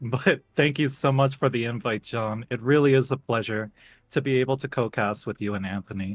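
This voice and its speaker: With an upbeat, energetic tone, a man talks at a moderate pace and medium pitch with ordinary pitch variation, in a very clean recording with a silent background and a dry, close sound with no echo. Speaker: variety streamer, VTuber. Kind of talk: livestream commentary chat.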